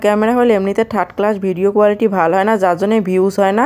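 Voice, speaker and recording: A woman with a Rangpur accent talks at a medium pitch with fairly even intonation. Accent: Rangpuri Bengali dialect. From Rangpur, northern Bangladesh. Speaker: cooking vlogger. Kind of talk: vlog cooking narration. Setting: home kitchen. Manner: casual.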